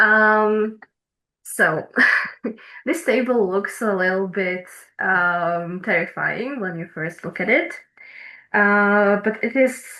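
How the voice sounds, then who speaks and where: With a Slovak accent, a woman speaks at a very slow pace and a medium pitch, her tone bright and sharp, her intonation lively, and her pauses long and frequent. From eastern Slovakia, Prešov. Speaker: PhD researcher. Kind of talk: academic presentation. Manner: hesitant, many fillers.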